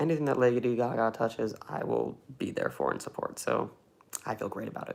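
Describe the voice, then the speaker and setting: The speaker has an American accent and moves at a fairly quick pace. Noticeable background noise runs under the voice. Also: man. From Cleveland, Ohio, US. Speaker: film YouTuber. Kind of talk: livestream chat reading viewer comments. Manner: fast; animated.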